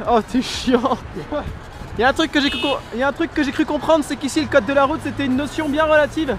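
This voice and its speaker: Noticeable background noise sits behind a man speaking at a very fast pace. His voice is extremely high, with fairly even intonation. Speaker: travel vlogger. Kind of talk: travel vlog. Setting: in a taxi.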